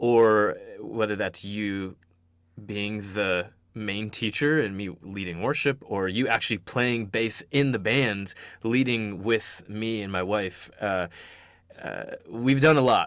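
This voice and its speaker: In a very clean recording with a silent background, a man with a fairly low pitch speaks at a very slow pace with ordinary pitch variation. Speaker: podcast host. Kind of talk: casual chat.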